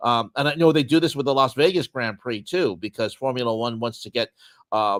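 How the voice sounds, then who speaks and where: A man's medium-pitched voice at a fairly quick pace, with ordinary pitch variation and a dry, close sound with no echo. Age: 60s. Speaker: sports podcast co-host. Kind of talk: casual chat. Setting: livestream. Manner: halting.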